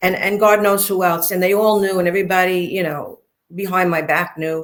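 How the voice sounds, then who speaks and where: This woman has a Brooklyn accent. She talks at a fairly quick pace. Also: medium pitch for a woman. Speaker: interview guest, former mob wife. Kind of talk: interview storytelling. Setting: livestream interview. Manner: animated.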